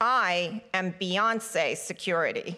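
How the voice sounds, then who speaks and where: In a put-on character voice, a woman sounds gravelly at a medium pitch, her intonation fairly even. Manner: growling, gruff.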